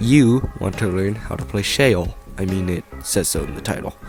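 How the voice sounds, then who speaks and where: A man speaks with a fairly low pitch while music plays in the background. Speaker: game video creator. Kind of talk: scripted game guide narration.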